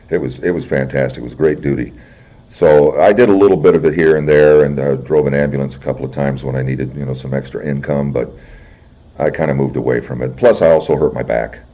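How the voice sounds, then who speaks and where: A man with a very deep, low pitch and an American accent, at a very fast pace with fairly even intonation, over noticeable background noise. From Illinois. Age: 60s. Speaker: military veteran. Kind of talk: oral history interview.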